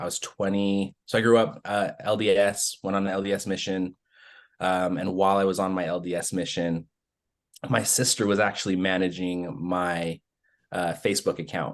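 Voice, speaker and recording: An American accent at a moderate pace, with monotone, flat intonation and a quiet background. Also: man. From Utah, US. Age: 30s. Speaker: adoptee sharing his story. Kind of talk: personal storytelling on podcast. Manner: casual, with many fillers.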